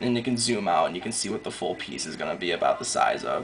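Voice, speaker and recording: A man speaks quietly over noticeable background noise. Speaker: digital artist. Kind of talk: casual tutorial narration.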